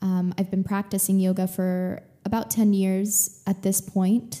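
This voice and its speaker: At a moderate pace and medium pitch, a woman with an American accent speaks in a dark, mellow, somewhat breathy voice with fairly even intonation. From Texas. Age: 20s. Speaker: podcast host, actress and yoga teacher. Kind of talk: casual monologue. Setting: home living room. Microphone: good podcasting microphone.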